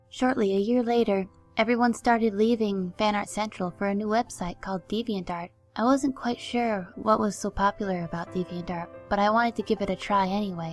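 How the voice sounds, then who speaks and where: The speaker talks at a fairly quick pace with fairly even intonation. Music plays in the background. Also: woman. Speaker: artist. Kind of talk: personal life story narration. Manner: volume keeps shifting louder and quieter.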